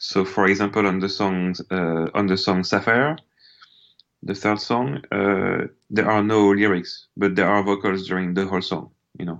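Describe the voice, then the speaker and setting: A man with a French accent, fairly low pitch and fairly even intonation, at a moderate pace against a quiet background. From France. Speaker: musician. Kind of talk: interview. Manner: hesitant, many fillers.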